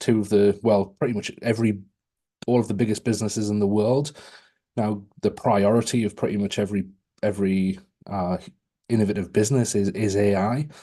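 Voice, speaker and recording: Fairly quick and fairly even in intonation, a man with a British accent speaks in a fairly low pitch with a dark, mellow tone. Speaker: AI speaker and author. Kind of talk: webinar presentation.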